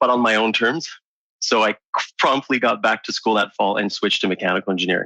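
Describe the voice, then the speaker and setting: A man's bright, sharp voice with a French Canadian accent, very fast yet broken by long, frequent pauses, in a dry, close sound with no echo. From Quebec, Montreal. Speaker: engineer and entrepreneur. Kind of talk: interview.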